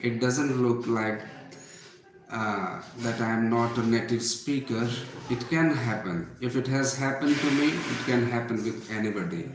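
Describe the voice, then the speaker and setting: A man with an Indian accent speaks fairly slowly at a medium pitch with fairly even intonation, over noticeable background noise and audible room echo. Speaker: English teacher. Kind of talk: live online class. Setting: livestream.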